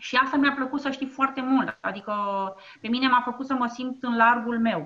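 A woman speaks at a moderate pace in a high, bright and sharp voice, raised and projected, with fairly even intonation. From Romania, Ploiești. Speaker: entrepreneur. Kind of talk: interview. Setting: internet call.

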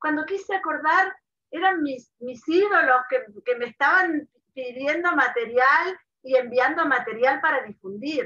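A raised, projected voice carries a bright, sharp tone and lively intonation. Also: woman. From Argentina (Mendoza). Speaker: online advocacy founder, writer. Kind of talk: interview.

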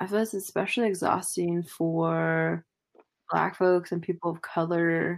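A woman's fairly low voice with fairly even intonation, in a very clean recording with a silent background. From California. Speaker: podcast co-host, PhD student. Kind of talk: casual chat.

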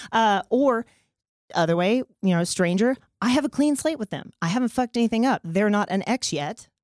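In a dry, close sound with no echo and a very clean recording with a silent background, a woman with an ordinary speaking voice talks at a fairly quick pace, her fairly high pitch marked by lively intonation. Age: 40s. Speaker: sex therapist. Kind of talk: casual chat.

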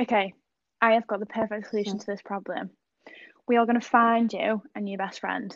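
A woman with an English accent speaks at a fairly high pitch, with big swings in loudness. She pauses long and often against a quiet background. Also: fairly even intonation, fairly quick pace. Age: 20s. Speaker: podcast co-host. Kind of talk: casual chat.

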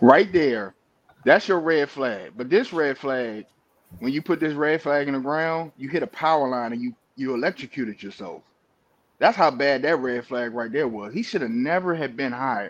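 A man with an unremarkable speaking voice uses a fairly high pitch and lively intonation at a moderate pace. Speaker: panelist. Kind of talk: casual sports talk banter.

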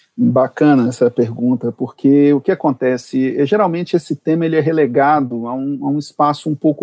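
This is an unremarkable speaking voice at a moderate pace. Intonation stays fairly even. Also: man. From Brasília, Brazil. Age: 40s. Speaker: public prosecutor and law professor. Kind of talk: interview on legal topics. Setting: remote recording.

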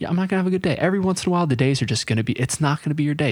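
A man talks very fast in a somewhat breathy voice. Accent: American. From US South, North Carolina. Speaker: podcast host and runner. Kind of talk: casual chat.

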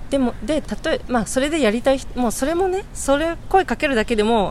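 A woman talks at a fairly quick pace with noticeable background noise behind her. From Shizuoka, Japan. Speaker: civic activist. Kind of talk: interview.

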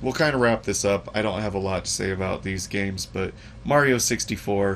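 Here is a man with a normal speaking voice. His pitch is fairly low and his pace moderate. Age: 30s. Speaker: podcast host. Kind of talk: casual chat.

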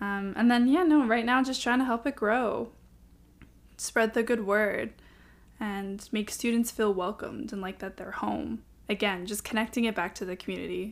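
Over a very clean recording with a silent background, a woman speaks in a plain, everyday voice. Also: fairly high pitch for a woman, ordinary pitch variation, moderate pace. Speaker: student leader. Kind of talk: interview.

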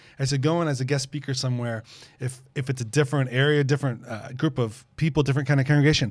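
Speaking at a very fast pace, a man with a medium pitch sounds somewhat breathy and monotone, with flat intonation. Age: 50s. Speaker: pastor. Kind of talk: casual chat.

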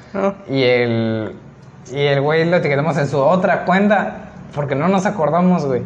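A man with a fairly high pitch talks fairly slowly with lively intonation, his voice carrying audible room echo over noticeable background noise. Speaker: podcast co-host. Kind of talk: casual chat.

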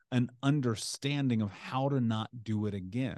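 Pitch variation is ordinary, and the pace sits at a moderate level. The speaker has an American accent. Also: man. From US Midwest (Indianapolis, Indiana). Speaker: author, coach and motivational speaker. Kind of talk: interview conversation.

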